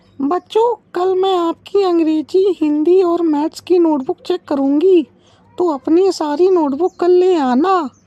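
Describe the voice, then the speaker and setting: A cartoonish character voice at a fairly slow pace. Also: woman, extremely high pitch for a woman. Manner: firm, authoritative.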